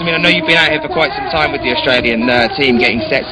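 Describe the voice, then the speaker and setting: A man with a British accent at a very fast pace, with audible room echo and crowd noise in the background. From Britain. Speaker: live stream commentator and interviewer. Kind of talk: live event commentary and interview. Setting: competition venue, live web stream.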